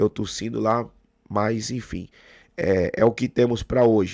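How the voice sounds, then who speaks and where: A man's medium-pitched voice, dark and mellow in tone with fairly even intonation, dry and close with no echo on a very clean recording with a silent background. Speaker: football fan commentator. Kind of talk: casual video commentary.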